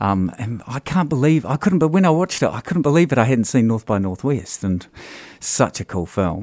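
Recorded with a dry, close sound and no echo, a man speaks at a medium pitch and a fairly quick pace, with very wide pitch swings. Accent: New Zealand. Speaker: stage actor. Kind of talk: interview. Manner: halting.

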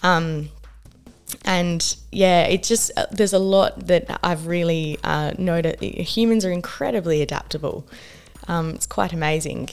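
A woman with an Australian accent speaks at a fairly low pitch. Her pace is fairly slow and her pitch variation ordinary. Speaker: social justice worker and writer. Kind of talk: radio interview. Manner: hesitant, many fillers.

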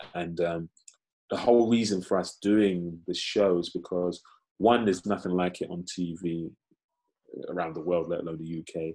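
With a London accent, a man speaks in a very deep, low pitch and a dark, mellow tone, leaving long, frequent pauses. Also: fairly even intonation, moderate pace. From East London (Canning Town), Nigerian heritage. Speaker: actor. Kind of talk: casual interview chat. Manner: halting, many fillers and repetitions.

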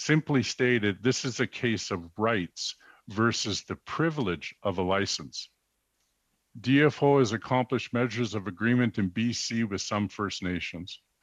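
An unremarkable speaking voice moves at a fairly slow pace. Its pitch varies in an ordinary way. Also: man, medium pitch for a man. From British Columbia coast, Canada. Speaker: First Nations chief and advocate. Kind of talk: formal testimony before a parliamentary committee. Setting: parliamentary committee hearing. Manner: formal.

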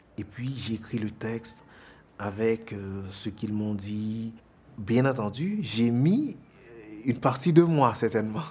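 With long, frequent pauses, a man speaks at a very slow pace in a somewhat breathy, medium-pitched voice with ordinary pitch variation. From Haiti, Port-au-Prince. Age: 30s. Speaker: actor and stage director. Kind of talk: documentary interview.

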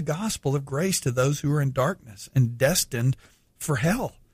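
In a very clean recording with a silent background, a man with a fairly high pitch speaks at a moderate pace, somewhat breathy and with lively intonation. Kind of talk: radio Bible teaching. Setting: radio studio.

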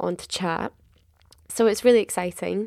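Woman speaking at a moderate pace, on a very clean recording with a silent background. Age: 20s. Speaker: podcast co-host, drama school student. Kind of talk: casual chat. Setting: at home, late at night. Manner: quiet.

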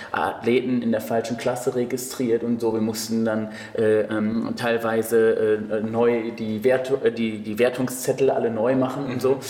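A man's medium-pitched, monotone delivery at a fairly slow pace with hardly any pauses, plus noticeable background noise and audible room echo. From Cologne, Germany. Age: 20s. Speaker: bodybuilding coach and judge. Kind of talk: casual chat. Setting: gym.

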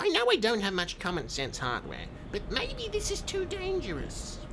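A put-on character voice at a moderate pace, with clear background noise. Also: female-sounding voice. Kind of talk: comic overacting.

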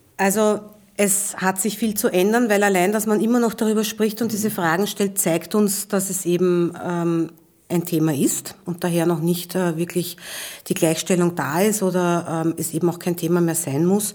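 Her pace is moderate and her intonation fairly even. The woman has an unremarkable speaking voice at a medium pitch. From Vienna, Austria. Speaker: transport company executive. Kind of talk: interview.

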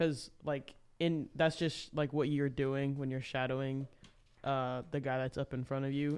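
This man speaks fairly slowly in a flat monotone, with an American accent and a fairly high pitch. The recording is very clean, with a silent background. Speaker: college baseball player. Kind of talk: casual chat.

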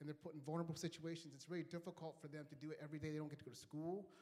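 A dark, mellow tone in a monotone, flat intonation. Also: man. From Kenya. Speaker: charity representative. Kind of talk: church talk.

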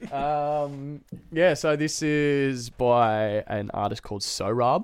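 An Australian accent from a man, ordinary pitch variation, on a very clean recording with a silent background. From Australia, Queensland (Noosa). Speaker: DJ. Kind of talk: casual chat.

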